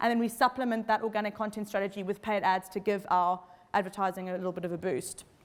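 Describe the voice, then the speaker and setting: A woman at a very fast pace. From South Africa. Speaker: marketing agency owner and speaker. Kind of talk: conference presentation with audience interaction. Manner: casual, animated.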